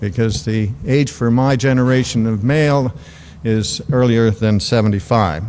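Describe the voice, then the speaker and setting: A man speaks at a medium pitch and a very even loudness. Audible room echo surrounds his voice. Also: ordinary pitch variation, moderate pace. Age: 70s. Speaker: retiree speaking at conference. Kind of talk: speech at conference.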